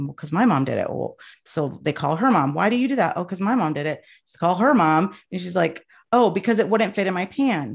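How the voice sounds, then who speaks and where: A woman talks at a very fast pace with lively intonation. The background is quiet. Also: medium pitch for a woman. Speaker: travel advisor and industry coach. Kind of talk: casual interview conversation. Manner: passionate, opinionated.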